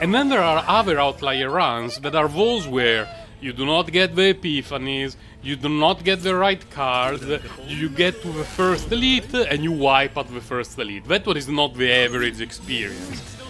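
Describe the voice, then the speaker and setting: The speaker has a non-native accent, a relaxed tone and lively intonation. Noticeable background noise runs underneath. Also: man, fairly high pitch for a man, moderate pace. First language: not English. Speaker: gaming content creator. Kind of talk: gameplay commentary. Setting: recorded voice-over after the fact. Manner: halting, many fillers; casual, relaxed.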